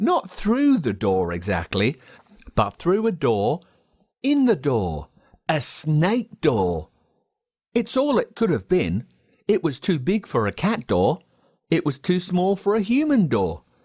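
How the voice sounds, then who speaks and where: Someone with an Australian accent speaks at a very slow pace, leaving long, frequent pauses. The recording is very clean, with a silent background. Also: man. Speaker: voice actor. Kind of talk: children's story reading.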